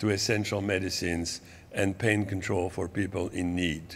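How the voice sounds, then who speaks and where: A man speaks at a fairly slow pace with a French accent. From France. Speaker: medical professor and public health advocate. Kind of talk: conference talk. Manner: halting, with many repetitions.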